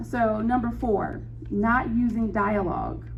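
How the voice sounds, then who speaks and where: A woman speaks with audible room echo. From Gary, Indiana, US Midwest. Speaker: novelist giving a writing talk. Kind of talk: presentation to a writers' group.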